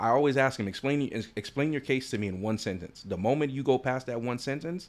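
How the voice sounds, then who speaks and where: This man uses an ordinary speaking voice with ordinary pitch variation, moving at a fairly quick pace. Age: 30s. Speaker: trial attorney and law school trial coach. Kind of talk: casual chat.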